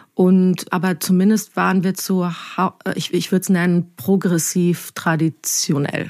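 Against a very clean recording with a silent background, a woman talks at a fairly slow pace in a fairly low pitch, an ordinary speaking voice. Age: 30s. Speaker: journalist. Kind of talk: podcast interview.

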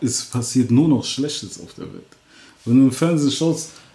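The man's voice is fairly high in pitch. His intonation stays fairly even. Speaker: rapper. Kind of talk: casual interview.

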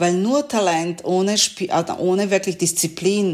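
A woman's fairly low voice with a Serbian accent, at a very slow pace. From Yugoslavia (Serbia). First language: Serbian (speaking German). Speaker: trumpeter and music professor. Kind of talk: interview. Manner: halting.

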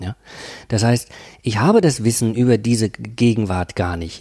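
In a very clean, dry and close recording with no echo and a silent background, a man with a dark, mellow tone speaks at a medium pitch and moderate pace. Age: 50s. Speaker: professor of cultural studies. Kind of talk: interview. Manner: hesitant, many fillers.

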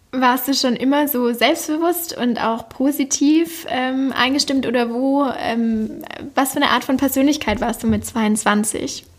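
A woman's high voice at a fairly slow pace, with ordinary pitch variation and noticeable background noise. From Swabia, Germany (Backnang near Stuttgart). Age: 20s. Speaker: podcast host. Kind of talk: interview.

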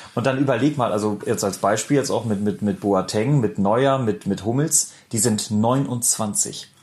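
The speaker has a northern German accent and a fairly slow pace. Loudness stays very even, with ordinary pitch variation. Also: man, medium pitch for a man. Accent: north German. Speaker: podcast co-host. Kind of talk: casual chat.

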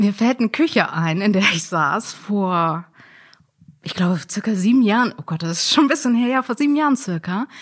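A woman speaks at a moderate pace in a somewhat breathy voice. Her pitch sits in the middle range but swings very widely. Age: 30s. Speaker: sex worker. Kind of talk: interview.

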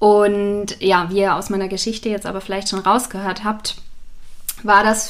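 Here a woman is speaking. Her pitch is medium. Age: 30s. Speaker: business founder. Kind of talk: interview. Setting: in person.

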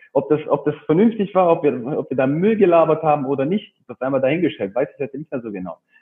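Talking at a very fast pace, a man uses lively intonation at a fairly high pitch. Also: big swings in loudness. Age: 30s. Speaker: personal trainer and gym owner. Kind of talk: interview.

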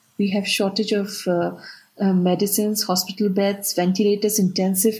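A woman talks at a moderate pace. Her pitch is medium and her voice is somewhat breathy. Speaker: aid organisation worker. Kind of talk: interview. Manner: halting, searching for words.

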